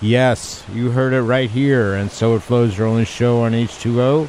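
Over noticeable background noise, a man talks fairly slowly at a medium pitch. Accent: American. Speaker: radio host. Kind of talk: radio show interview. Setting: studio. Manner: animated.

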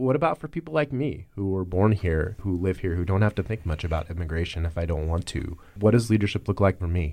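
Over a quiet background, a man with an American accent talks at a very fast pace, his very deep, low pitch carrying a dark, mellow tone and lively intonation. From US. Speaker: podcast host. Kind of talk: interview.

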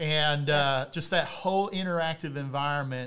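The voice is a normal speaking voice with fairly even intonation. It moves at a fairly quick pace. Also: man. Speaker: podcast host, church planting leader. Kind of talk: casual chat.

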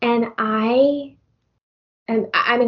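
A normal speaking voice, delivered with ordinary pitch variation. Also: woman. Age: 40s. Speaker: county clerk. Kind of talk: personal testimony.

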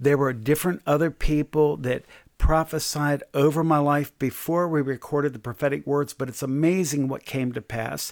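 A man's fairly high, a normal speaking voice, at a moderate pace with fairly even intonation and hardly any pauses. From US, Delaware. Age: 60s. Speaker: pastor and prophet, author. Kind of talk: interview about faith and leadership.

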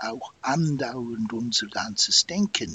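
There is noticeable background noise behind a man. He speaks at a very slow pace with lively intonation. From Switzerland. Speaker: psychiatrist. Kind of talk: interview.

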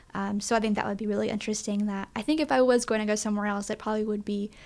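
A woman speaks at a very fast pace. Her pitch is fairly high and her intonation fairly even. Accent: East Tennessee. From East Tennessee. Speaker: college communications staff. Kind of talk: casual interview.

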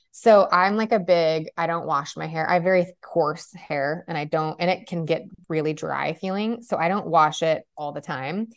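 A woman speaks in a fairly low register at a moderate pace. Her pitch variation is ordinary, and it is an unremarkable speaking voice. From California. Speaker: hair and makeup artist, business owner. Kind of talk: casual interview chat.

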